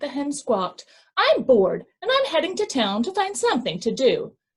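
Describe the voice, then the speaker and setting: Using a put-on character voice, a woman speaks at a moderate pace in a high pitch with very wide pitch swings. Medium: read story. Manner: clucking, squawky.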